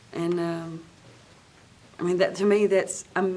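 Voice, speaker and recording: There is noticeable background noise as a woman with an American accent speaks. Her voice sits at a medium pitch and moves at a fairly slow pace. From western North Carolina (Cherokee). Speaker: singer and cultural preservationist. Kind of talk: interview conversation.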